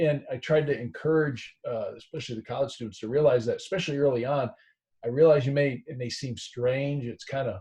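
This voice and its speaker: At a fairly high pitch and fairly quick pace, a man speaks in a somewhat breathy, dark, mellow tone with fairly even intonation and big swings in loudness. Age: 50s. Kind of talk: casual discussion. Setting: video call.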